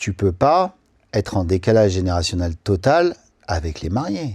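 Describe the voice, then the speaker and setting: A man speaks with lively intonation in a dark, mellow tone that is somewhat breathy. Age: 40s. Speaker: wedding photographer. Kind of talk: podcast interview. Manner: casual, animated.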